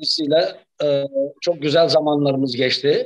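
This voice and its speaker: The setting is quiet in the background. A man does the talking. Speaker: guest. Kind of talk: interview answer. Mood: relaxed, reminiscing. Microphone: video call.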